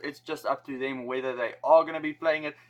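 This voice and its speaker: This man speaks with a South African accent and a bright, sharp tone. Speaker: rugby YouTuber. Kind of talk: casual explainer video. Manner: casual.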